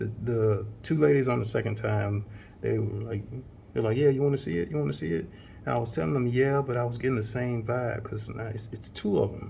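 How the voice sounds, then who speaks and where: A quiet man speaks at a fairly quick pace and medium pitch with ordinary pitch variation. His dark, mellow tone is somewhat breathy, with audible room echo. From US South. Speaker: vlogger. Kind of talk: casual vlog talk.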